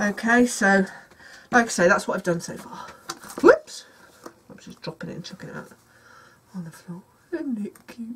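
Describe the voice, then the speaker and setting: With noticeable background noise, a woman at medium pitch speaks at a moderate pace, leaving long, frequent pauses. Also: lively intonation, big swings in loudness. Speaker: craft youtuber. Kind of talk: tutorial. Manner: mumbling to herself; hesitant, many fillers.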